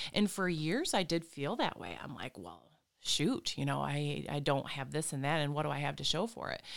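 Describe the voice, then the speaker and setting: Here a woman speaks with an Upper Midwest accent. Her pace is moderate. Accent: Upper Midwest American. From Michigan, Flint area. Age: 40s. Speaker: reflexologist and hypnotherapist. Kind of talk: interview.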